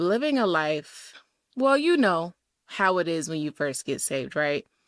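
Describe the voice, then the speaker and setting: Recorded dry and close with no echo, very clean and with a silent background, a woman at fairly low pitch speaks with lively intonation in a Southern US accent. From US South. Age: 20s. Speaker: podcast host. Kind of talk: casual monologue. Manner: casual, with many fillers.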